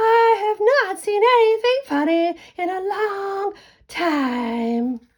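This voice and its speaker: An extremely high, squeaky, put-on character voice at a very slow pace. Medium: read story.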